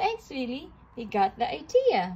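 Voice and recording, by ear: Using a put-on character voice, a woman speaks high and at a fairly slow pace, her dark, mellow tone carrying a slightly husky edge and very wide pitch swings.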